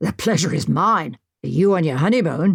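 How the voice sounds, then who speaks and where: A woman does a raspy put-on character voice at a fairly low pitch. Her intonation is lively and her pace moderate. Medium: read story. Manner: hearty, clubbable upper-class.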